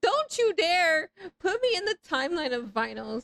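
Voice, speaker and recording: Animated and raised to a projected voice, a woman speaks at a fairly slow pace with very wide pitch swings and a dry, close sound with no echo. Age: 30s. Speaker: video game streamer. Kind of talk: live stream chat.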